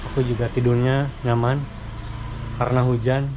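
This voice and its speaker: A man at a medium pitch speaks in a monotone with flat intonation. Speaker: motovlogger. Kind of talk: vlog narration while touring. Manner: casual, halting with fillers.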